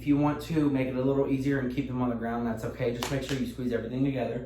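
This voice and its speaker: Amid noticeable background noise and audible room echo, a man talks at a medium pitch with fairly even intonation. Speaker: fitness instructor. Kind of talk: guided workout tutorial. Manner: encouraging, counting reps aloud.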